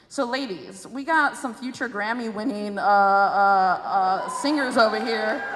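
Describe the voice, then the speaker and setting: Delivered with hardly any pauses and lively intonation, this voice with an American accent comes through audible room echo and noticeable background noise. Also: woman, fairly high pitch for a woman. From Chicago, Southwest Side. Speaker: state senator moderating a panel. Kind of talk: panel discussion. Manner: casual, animated.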